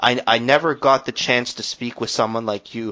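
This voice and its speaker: A plain, everyday voice comes at a moderate speed. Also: man. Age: 20s. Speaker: podcast host. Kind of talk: interview.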